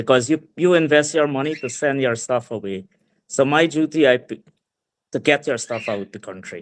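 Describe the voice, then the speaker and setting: A fairly high-pitched man with a Guyanese accent at a moderate pace, ordinary pitch variation and big swings in loudness. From Guyana, Mahaicony area. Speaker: small business owner. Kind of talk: interview.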